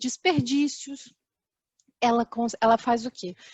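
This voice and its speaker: A woman is speaking. Her pace is fairly slow. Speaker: safety and chemical engineer. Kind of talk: online talk presentation. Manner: hesitant, many fillers.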